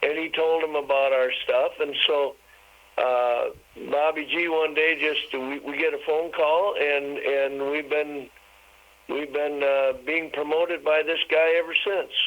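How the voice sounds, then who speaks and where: Over noticeable background noise, a man with an American accent speaks at a fairly high pitch and a fairly slow pace in a monotone, flat intonation. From Wisconsin. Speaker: singer-songwriter. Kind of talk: interview.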